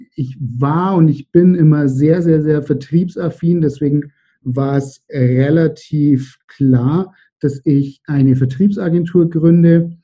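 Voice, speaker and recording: A man speaks at a very slow pace with fairly even intonation. His fairly high voice sounds somewhat breathy. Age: 30s. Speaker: entrepreneur. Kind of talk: interview.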